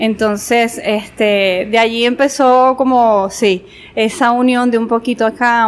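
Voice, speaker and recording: Fairly slowly, a woman talks with monotone, flat intonation. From Venezuela, Guanare (Portuguesa), also Mérida and Barquisimeto. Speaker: visual artist and designer. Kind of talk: casual interview.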